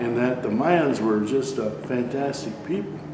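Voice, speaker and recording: A man is speaking with audible room echo. Background noise is noticeable. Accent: American. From US, Mexican American. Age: 70s. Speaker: oral history interviewee, retired production manager. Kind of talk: oral history interview. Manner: halting, repetitive.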